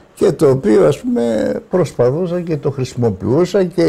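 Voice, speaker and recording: A man speaks with very wide pitch swings. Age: 70s. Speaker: veteran treasure hunter. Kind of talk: interview. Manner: halting.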